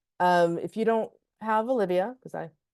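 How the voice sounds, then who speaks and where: The background is quiet. The sound is dry and close, with no echo. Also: woman. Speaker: film festival strategist. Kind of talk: webinar presentation. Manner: fast.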